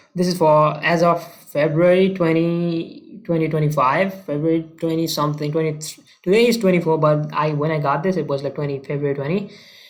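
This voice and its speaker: A man's fairly high voice, fairly quick and fairly even in intonation, with audible room echo. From developing country. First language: not English. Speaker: marketing consultant. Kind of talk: casual talking-head case study walkthrough. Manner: casual, hesitant with many fillers.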